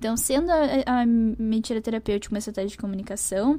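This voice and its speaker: A woman's dark, mellow voice at a fairly quick pace, with ordinary pitch variation. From southern Brazil, Porto Alegre. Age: 20s. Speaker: speech therapy graduate student. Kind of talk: academic interview presentation.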